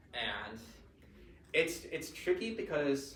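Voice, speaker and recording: Noticeable background noise and audible room echo surround this man. His pitch varies in an ordinary way. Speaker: convention panel presenter. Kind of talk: convention panel talk. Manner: casual, filler-heavy.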